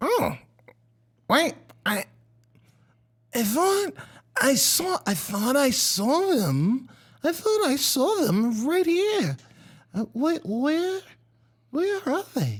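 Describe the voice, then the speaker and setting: A put-on character voice sits high in pitch and swings very widely up and down. It moves at a very slow pace. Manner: confused, muddled.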